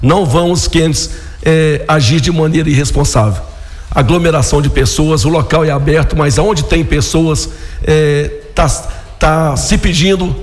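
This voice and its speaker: Amid noticeable background noise and audible room echo, a man speaks at a fairly slow pace and a fairly high pitch, with ordinary pitch variation and very even loudness. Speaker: local politician, city council president. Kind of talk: radio interview.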